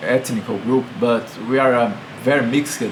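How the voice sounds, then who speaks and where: Over noticeable background noise, a man with a Brazilian Portuguese accent speaks at a fairly slow pace, medium pitch and fairly even intonation. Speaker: video blogger. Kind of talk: political commentary monologue. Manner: halting.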